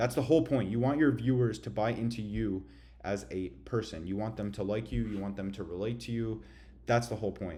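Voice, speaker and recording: Talking at a fairly quick pace, a man with a fairly low pitch, a dark, mellow tone and vocal fry shows ordinary pitch variation amid audible room echo. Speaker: online business coach. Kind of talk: tutorial. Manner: casual slangy.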